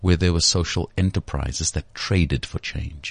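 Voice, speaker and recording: This man speaks with a very deep, low pitch and vocal fry, recorded dry and close with no echo against a quiet background. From South Africa, Cape Flats (Cape Town). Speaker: CEO and former news anchor. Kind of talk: interview. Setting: studio.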